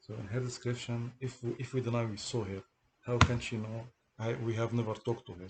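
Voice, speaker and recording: In a strong non-native accent, the speaker moves at a fairly quick pace with monotone, flat intonation. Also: man, medium pitch for a man. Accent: heavy foreign accent in English. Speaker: person telling of a police case against him. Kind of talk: monologue recounting a personal grievance. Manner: halting, repeats words.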